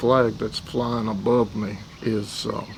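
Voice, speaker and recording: Noticeable background noise surrounds a man with an American accent. His medium-pitched voice keeps fairly even intonation. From US South, East Tennessee (Athens). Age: 70s. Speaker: war veteran. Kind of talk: testimony. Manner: halting, many fillers.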